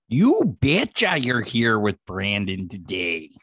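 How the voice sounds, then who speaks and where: Putting on a raspy character voice with a Minnesota accent, a man speaks at medium pitch and a fairly slow pace with lively intonation, the sound dry and close with no echo. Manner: jokey, mocking.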